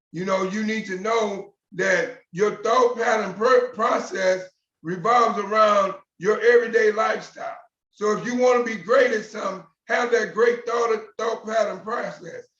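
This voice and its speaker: This man's voice sits at a high pitch. His pitch varies in an ordinary way. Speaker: motivational speaker. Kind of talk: motivational talk. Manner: fast.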